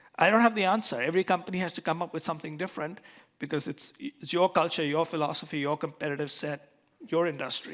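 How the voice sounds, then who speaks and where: A man talks at a very fast pace in an animated tone, his pitch fairly high with ordinary variation. The recording is very clean, with a silent background. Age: 60s. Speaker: keynote speaker. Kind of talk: keynote speech. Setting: stage with audience.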